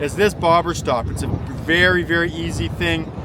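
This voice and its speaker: Noticeable background noise beneath a man speaking high in pitch. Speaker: fishing vlogger and guide. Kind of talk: casual outdoor vlog and tutorial. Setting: outdoors by a lake. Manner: quiet, holding back volume.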